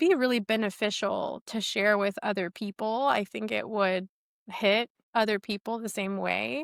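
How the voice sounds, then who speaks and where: With an American accent and an unremarkable speaking voice, a woman talks at a fairly slow pace and fairly high pitch, recorded very cleanly with a silent background and a dry, close sound free of echo. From Texas, San Antonio. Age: 40s. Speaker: podcast host, personal trainer. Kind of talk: casual chat.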